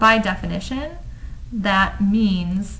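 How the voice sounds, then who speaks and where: A woman's voice with audible room echo. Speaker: math lecturer. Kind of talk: lecture.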